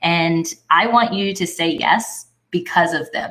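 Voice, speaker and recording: Her voice sits at a fairly low pitch with ordinary pitch variation. This woman's tone is bright and sharp. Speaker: podcast host. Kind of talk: casual podcast talk.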